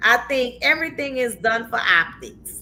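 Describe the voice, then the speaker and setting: A woman's high voice, animated and passionate, with lively intonation and a fairly slow pace. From New Orleans, Louisiana, US South. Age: 50s. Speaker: talk show host. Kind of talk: casual chat. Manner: animated, passionate; repeats words, halting starts.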